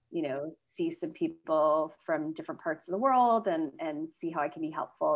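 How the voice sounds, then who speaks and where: A woman talks with a Canadian accent in a normal speaking voice. Her pitch is fairly low, with ordinary variation and a moderate pace. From Toronto, Canada. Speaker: clinical psychologist and sex therapist. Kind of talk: interview.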